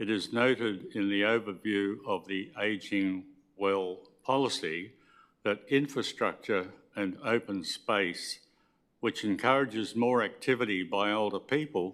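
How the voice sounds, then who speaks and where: A man with an Australian accent, fairly low-pitched, at a fairly slow pace with ordinary pitch variation, on a very clean recording against a silent background. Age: 80s+. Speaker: member of the public addressing council. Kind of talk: public submission at council meeting. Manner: formal; halting.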